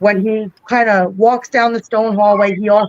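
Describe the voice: Fairly even intonation runs through the clip. It is plain reading aloud.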